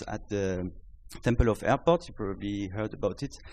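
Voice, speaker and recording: A man speaks at a fairly low pitch with a French accent. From France. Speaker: startup founder. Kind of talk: startup pitch. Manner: halting.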